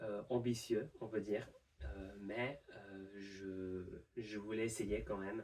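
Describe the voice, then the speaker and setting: Fairly low in pitch, a man speaks in a dark, mellow tone with fairly even intonation. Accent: non-native. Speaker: university student, language learner. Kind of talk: improvised monologue to camera. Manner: hesitant, many fillers.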